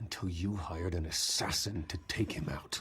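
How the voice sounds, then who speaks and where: A man puts on a growling character voice pitched very deep and low. He delivers it at a moderate pace. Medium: machinima. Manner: terse, intense.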